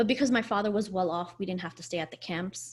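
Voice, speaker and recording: A woman's medium-pitched voice with ordinary pitch variation, in a very clean recording with a silent background. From Afghanistan, raised in US from age five. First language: Farsi. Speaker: podcast co-host. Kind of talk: personal storytelling in a casual podcast conversation. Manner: conversational with frequent fillers and self-corrections.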